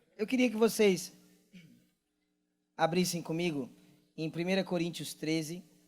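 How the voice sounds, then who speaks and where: Taking long, frequent pauses, a man with a high pitch speaks at a fairly slow pace with ordinary pitch variation. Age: 20s. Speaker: pastor and worship leader. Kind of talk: sermon. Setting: church stage with audience. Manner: casual, joking.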